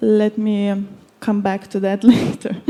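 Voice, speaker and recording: Monotone, flat intonation in a non-native accent, over noticeable background noise. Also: woman. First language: Lithuanian. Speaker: conference panelist. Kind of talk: panel discussion. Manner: halting, many fillers.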